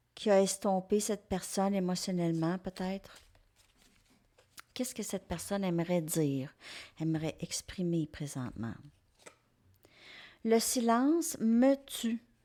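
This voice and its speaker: The tone is dark and mellow, with lively intonation. Delivery is very slow with long, frequent pauses, and the recording is very clean with a silent background. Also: woman, medium pitch for a woman. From Quebec. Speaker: tarot reader. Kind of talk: tarot reading monologue. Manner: casual, hesitant with fillers.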